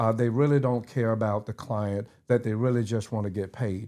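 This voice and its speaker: This voice has a dark, mellow tone and an Atlanta accent. The pace is fairly quick, on a very clean recording with a silent background. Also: man. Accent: Southern US (Atlanta). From US South. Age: 60s. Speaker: lawyer. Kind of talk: casual chat.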